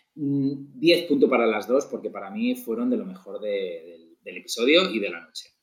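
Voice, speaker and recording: A man in a Spanish accent speaks at a moderate pace, his loudness swinging widely. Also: hardly any pauses. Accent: Peninsular Spanish. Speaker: podcast co-host. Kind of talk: casual chat.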